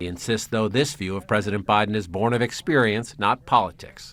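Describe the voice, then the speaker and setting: A man's medium-pitched, unremarkable speaking voice at a fairly quick pace. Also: very clean recording, silent background. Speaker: TV news reporter. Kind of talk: TV news report narration.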